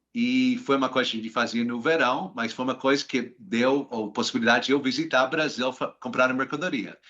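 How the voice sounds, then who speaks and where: In an American accent, a man speaks at a fairly quick pace with a bright, sharp tone, a medium pitch and ordinary pitch variation. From US, Washington DC. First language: English (speaking Portuguese). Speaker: finance professional. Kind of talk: interview. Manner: halting, many hesitations.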